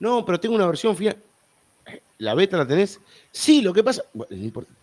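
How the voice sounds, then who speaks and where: Using an Argentine accent, a man speaks at a moderate pace with very wide pitch swings. The sound is dry and close, with no echo. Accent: Argentine Rioplatense. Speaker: podcast host. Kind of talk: casual chat. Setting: live stream online.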